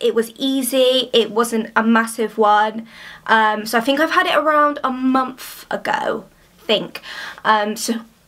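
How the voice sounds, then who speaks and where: The woman's speech moves at a fairly slow pace. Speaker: athlete vlogger. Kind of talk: casual vlog chat. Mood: cheerful, a bit shy. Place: home room. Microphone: phone near.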